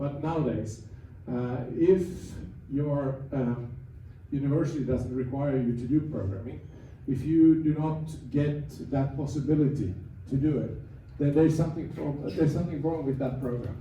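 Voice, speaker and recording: A man's fairly high, somewhat breathy voice with a Swedish accent, moderate pace, fairly even intonation, long, frequent pauses and audible room echo. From Finland, Swedish-speaking community. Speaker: AI industry speaker. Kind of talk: seminar talk. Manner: halting, many repetitions and fillers.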